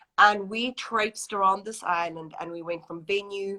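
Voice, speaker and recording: A woman's bright, sharp tone with a South African accent, monotone and flat, at a moderate pace. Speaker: wedding planner. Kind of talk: interview.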